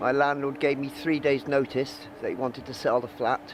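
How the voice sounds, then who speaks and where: Speaking at a medium pitch, the man can be heard above noticeable background noise. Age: 60s. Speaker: homeless man interviewed. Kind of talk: interview testimony.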